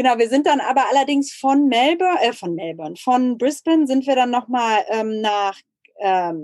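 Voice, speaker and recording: Moving at a moderate pace, a woman speaks in a high pitch with very wide pitch swings. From Germany. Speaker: emigrant entrepreneur. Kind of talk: casual chat.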